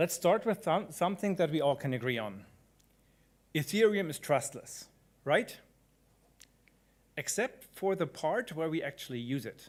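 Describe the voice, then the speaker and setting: A man's high voice with a strong German accent, very wide pitch swings, a moderate pace and long, frequent pauses. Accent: thick German. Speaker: conference speaker, blockchain developer. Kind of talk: conference talk.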